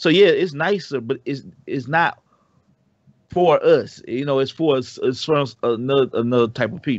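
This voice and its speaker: A man's fairly high voice with an American accent, ordinary pitch variation and a normal speaking voice. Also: moderate pace. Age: 30s. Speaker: podcast co-host. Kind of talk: casual chat.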